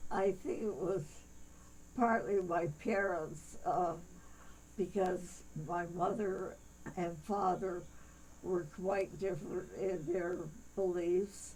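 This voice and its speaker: Amid audible room echo, a woman with vocal fry speaks at a medium pitch and a very slow pace, her intonation fairly even and her speech full of long, frequent pauses. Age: 90s. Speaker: church elder being interviewed. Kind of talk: interview. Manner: halting.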